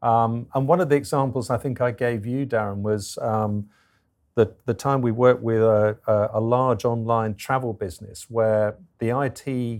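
A man with an English accent speaks at a medium pitch and a moderate pace. His intonation stays fairly even against a quiet background. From England. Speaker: business consultant. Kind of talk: interview. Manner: hesitant, many fillers.

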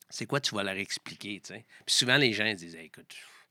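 A bright, sharp tone in a Quebec accent, on a very clean recording with a silent background. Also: man. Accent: Québécois French. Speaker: triathlon coach. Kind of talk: casual interview.

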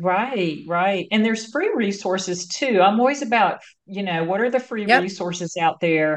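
A woman with an American accent in a plain, everyday voice, medium in pitch with ordinary pitch variation, moving at a moderate pace with hardly any pauses. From North Carolina. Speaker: marketing agency founder and CEO. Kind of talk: interview conversation.

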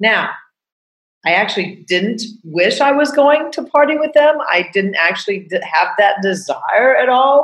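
At a fairly slow pace, a woman speaks with high pitch and very wide pitch swings. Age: 60s. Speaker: podcast host and coach. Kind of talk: casual monologue. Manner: animated.

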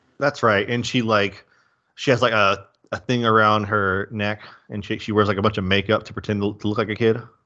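A man speaks in a fairly low pitch. His pace is fairly quick. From US South. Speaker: movie podcast co-host. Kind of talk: casual chat. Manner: animated.

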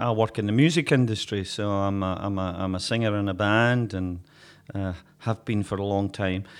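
Fairly low in pitch, a man speaks with a Glaswegian accent at a moderate pace and ordinary pitch variation. The recording is very clean with a silent background. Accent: Glaswegian Scottish. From Glasgow. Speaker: folk musician and podcast co-host. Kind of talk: casual chat. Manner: jokey, laughs often.

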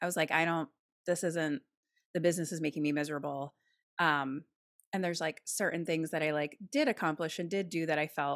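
On a very clean recording with a silent background and a dry, close sound with no echo, a woman with an American accent uses an ordinary speaking voice, fairly low in pitch, at a fairly quick pace with fairly even intonation. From Philadelphia, US East Coast. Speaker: podcaster and actor. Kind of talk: casual chat.

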